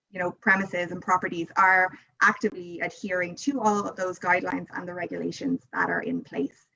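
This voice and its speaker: Speaking in an Irish accent, a woman talks at a fairly quick pace with medium pitch. Her tone is bright and sharp, with ordinary pitch variation. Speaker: tourism board representative. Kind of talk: interview.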